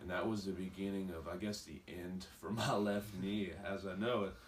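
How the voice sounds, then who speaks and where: Over noticeable background noise and audible room echo, a man speaks at a moderate pace with a fairly low pitch and ordinary pitch variation. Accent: American. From West Virginia, Beckley. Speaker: pro wrestler. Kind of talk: interview.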